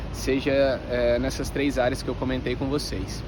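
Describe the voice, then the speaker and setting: Noticeable background noise and audible room echo are present. Through them, a man talks at a moderate pace. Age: 20s. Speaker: personal trainer and vlogger. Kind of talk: casual vlog talk to camera. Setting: outdoors in the shade.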